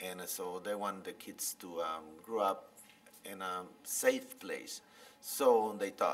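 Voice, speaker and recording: A man with a Guatemalan accent, very slow pace and big swings in loudness. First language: Spanish. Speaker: biologist and author. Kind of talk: interview storytelling. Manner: halting, many fillers.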